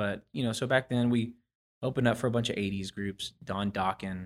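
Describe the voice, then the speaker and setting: An unremarkable speaking voice belongs to a man with an American accent. He speaks at a moderate pace with fairly even intonation. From Houston area, Texas (with years in Oklahoma). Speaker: musician, lead guitarist. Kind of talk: casual interview chat.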